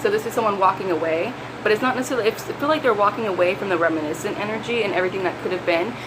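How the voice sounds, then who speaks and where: A woman rattles along at a very fast pace with medium pitch and ordinary pitch variation, with audible room echo and noticeable background noise. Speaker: tarot reader. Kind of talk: tarot reading video. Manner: animated.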